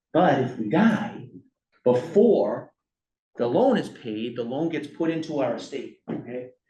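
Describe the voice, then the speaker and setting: A man with a fairly high pitch and very wide pitch swings speaks at a fairly slow pace in a dark, mellow, somewhat breathy tone. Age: 40s. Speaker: workshop presenter. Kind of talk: workshop lecture. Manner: conversational, frequent fillers and okay checks.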